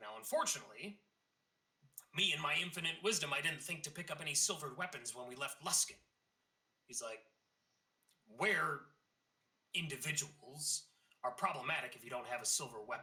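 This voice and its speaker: Using a raspy, put-on character voice at a fairly high pitch, a man talks at a fairly quick pace but leaves long, frequent pauses. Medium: actual play. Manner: calm, authoritative.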